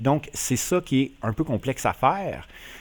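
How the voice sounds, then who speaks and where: A man in a strong Quebec accent, fairly slow and medium in pitch, with lively intonation over a very clean recording and silent background. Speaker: flight simulator YouTuber. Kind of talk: casual tutorial narration.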